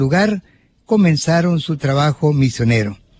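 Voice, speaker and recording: A fairly high-pitched, somewhat breathy man's voice at a fairly slow pace, with lively intonation and a dry, close sound without echo. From El Salvador, Suchitoto. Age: 70s. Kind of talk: religious teaching talk, partly reading aloud.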